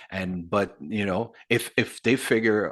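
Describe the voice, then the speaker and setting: With a Quebec French accent, a man speaks fairly slowly at a fairly low pitch against a quiet background. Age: 60s. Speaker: metal singer. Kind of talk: casual interview.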